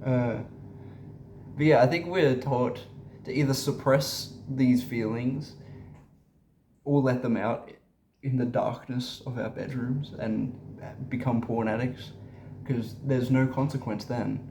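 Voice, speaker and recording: Vocal fry runs through a dark, mellow tone with monotone, flat intonation. Long, frequent pauses break up the speech, and room echo is audible. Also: man, medium pitch for a man. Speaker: spiritual content creator. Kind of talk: casual monologue vlog. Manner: halting, many fillers and repetitions.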